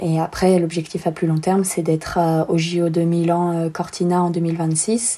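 With noticeable background noise behind her, a woman talks at a fairly slow pace in a flat monotone, keeping her loudness very even and hardly pausing at all. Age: 20s. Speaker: professional snowboarder. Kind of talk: interview.

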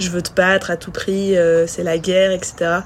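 With noticeable background noise around her, a woman speaks at a fairly slow pace in a fairly low pitch with monotone, flat intonation. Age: 20s. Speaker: professional cross triathlete. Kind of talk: casual interview. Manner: halting, many repetitions and fillers.

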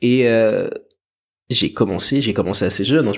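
The pace is moderate, with ordinary pitch variation. It is an unremarkable speaking voice. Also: man. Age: 20s. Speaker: musician and dancer. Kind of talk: interview conversation.

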